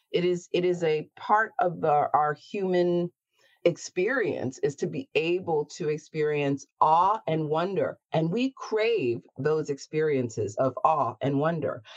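A woman with an unremarkable speaking voice, fairly low in pitch, with lively intonation at a fairly slow pace, in a dry, close sound with no echo. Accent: American. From US, Baltimore, Maryland. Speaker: drag performer and story hour organizer. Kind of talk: interview.

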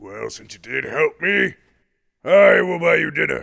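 Here a man uses a put-on character voice that sounds raspy. He keeps a moderate pace. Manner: blustering, grandiose, flustered.

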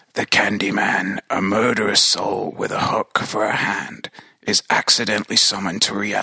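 A man uses a put-on character voice at a fairly low pitch and a moderate pace. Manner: menacing.

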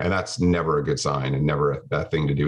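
Vocal fry from a man with a Canadian accent, at a very fast pace. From Canada, small town. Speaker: tech company CEO. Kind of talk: interview.

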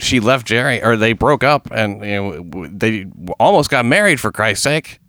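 Lively intonation and a bright, sharp tone come at a moderate pace on a very clean recording with a silent background. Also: man. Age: 50s. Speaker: crime news podcast host. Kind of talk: comedic news reading.

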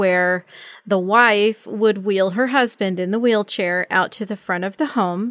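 Against a quiet background, a woman with an unremarkable speaking voice talks at a moderate pace and medium pitch, with ordinary pitch variation. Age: 50s. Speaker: podcast host on aging and caregiving. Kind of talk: casual interview chat.

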